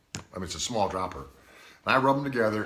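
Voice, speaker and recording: A man's medium-pitched voice, bright and sharp in tone, with audible room echo. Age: 60s. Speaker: product reviewer's father. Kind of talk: casual product review chat. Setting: live video stream. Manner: halting.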